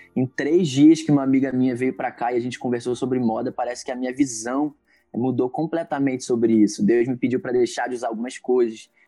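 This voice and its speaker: Talking at a very fast pace, a man with a medium pitch and a dark, mellow tone keeps his intonation fairly even. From Niterói, Rio de Janeiro, Brazil. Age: 20s. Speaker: church creative coordinator. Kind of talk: podcast interview.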